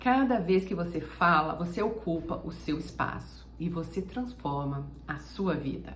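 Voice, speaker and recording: The fairly low voice of a woman carries audible room echo. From Brazil. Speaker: German teacher. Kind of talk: motivational talk to camera.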